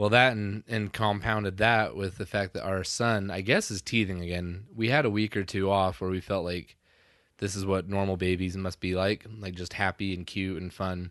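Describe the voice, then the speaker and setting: Fairly even in intonation and moderate in pace, this is a plain, everyday voice. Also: man, fairly low pitch for a man. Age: 30s. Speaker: podcast host. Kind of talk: casual chat.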